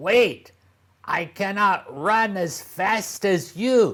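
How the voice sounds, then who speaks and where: A put-on character voice, croaky and at a middle pitch, speaks at a very slow pace. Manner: pleading.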